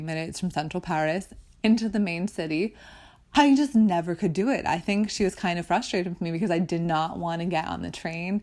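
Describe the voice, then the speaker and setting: This woman has a normal speaking voice, pitched fairly low, with ordinary pitch variation. The recording is very clean against a silent background. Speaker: podcast host. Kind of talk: podcast monologue.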